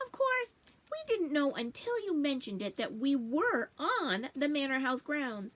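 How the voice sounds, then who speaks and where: High-pitched put-on character voice from a woman, delivered at a moderate speed. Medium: read story. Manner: friendly, chatty.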